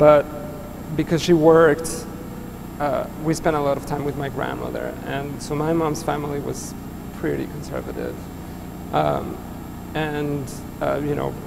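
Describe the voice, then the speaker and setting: Over loud background noise, a man talks at a fairly slow pace. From Mexico City. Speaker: artist; guest. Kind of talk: public conversation. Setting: stage with audience. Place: hall.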